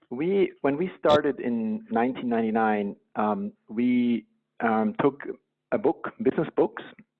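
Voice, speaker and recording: The voice moves at a moderate pace while the pitch swings very widely. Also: man. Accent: Swiss. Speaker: company co-founder. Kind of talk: podcast interview.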